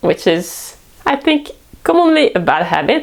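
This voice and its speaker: A woman with a French accent and very wide pitch swings. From France. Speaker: cooking vlogger. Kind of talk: casual talk to camera.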